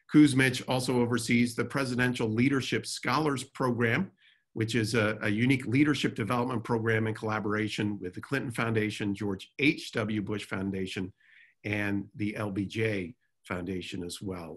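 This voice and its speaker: A man's speech, quiet in the background, holds a moderate pace and ordinary pitch variation. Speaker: webinar host or moderator. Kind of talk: panel introduction. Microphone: video call.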